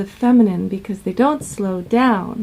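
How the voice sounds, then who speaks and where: A woman with a fairly high pitch speaks in a dark, mellow tone. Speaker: relationship coach. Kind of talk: vlog advice talk. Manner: slow.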